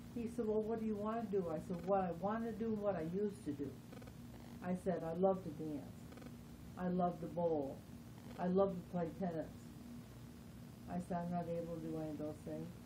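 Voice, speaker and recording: Woman at a fairly low pitch and fairly quick pace, with long, frequent pauses, ordinary pitch variation, audible room echo and noticeable background noise. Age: 70s. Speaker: interviewee with Parkinson's disease. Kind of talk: interview. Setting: at her home.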